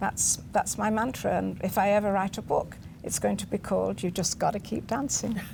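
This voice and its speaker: Here a woman talks at a moderate pace. She has a British accent. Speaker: TV show guest. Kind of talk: interview.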